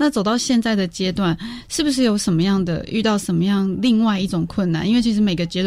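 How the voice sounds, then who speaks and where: Here is a woman with an ordinary speaking voice at a medium pitch. Her pace is fairly quick, with ordinary pitch variation. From Taiwan, Eastern Paiwan community. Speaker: podcast host. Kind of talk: interview.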